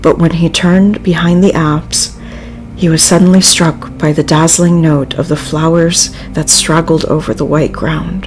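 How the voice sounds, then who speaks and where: A woman's fairly low, monotone voice with flat intonation at a fairly slow pace, music in the background. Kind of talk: audiobook reading; livestream reading.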